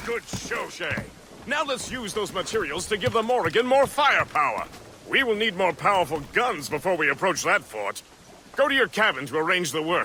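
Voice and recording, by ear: Using a put-on character voice, a man speaks at a moderate pace in a high pitch with a bright, sharp tone and big pitch swings.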